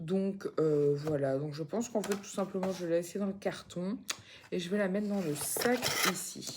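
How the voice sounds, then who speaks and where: A woman speaks quietly at a fairly slow pace and a medium pitch, with ordinary pitch variation and noticeable background noise. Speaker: vlogger, mother. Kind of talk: casual vlog chat. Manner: halting, many fillers; speaking very quietly.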